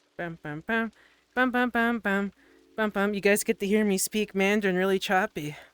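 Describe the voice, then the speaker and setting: Music plays in the background as a woman speaks, the sound dry and close with no echo. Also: medium pitch for a woman, fairly even intonation, moderate pace. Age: 20s. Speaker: streamer. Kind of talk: casual chat. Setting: live stream in VR.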